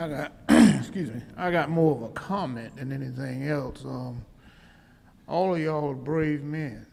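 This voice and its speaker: A man's fairly high-pitched voice at a fairly slow pace, with ordinary pitch variation and audible room echo. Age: 60s. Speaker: audience member. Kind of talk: public Q&A comment.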